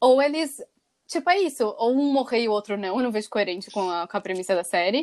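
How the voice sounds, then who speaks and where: On a very clean recording with a silent background, a woman in an ordinary speaking voice talks at a fairly quick pace, fairly high in pitch, with lively intonation. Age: 20s. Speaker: podcast co-host. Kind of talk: casual chat.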